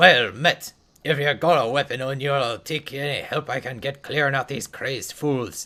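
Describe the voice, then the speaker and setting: Put-on character voice, moderately paced. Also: man, medium pitch for a man. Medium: game stream. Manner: blunt, combative.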